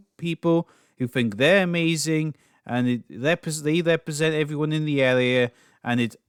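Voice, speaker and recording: A man with a Scottish accent speaks at a moderate pace in a fairly high voice. The recording is very clean, with a silent background. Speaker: political commentary youtuber. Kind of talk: casual commentary monologue.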